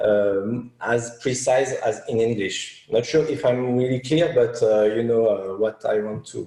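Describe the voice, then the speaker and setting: Fairly slow in delivery, this man speaks with a dark, mellow tone. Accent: French. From France. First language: French. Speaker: media buyer. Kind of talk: interview. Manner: halting, many fillers.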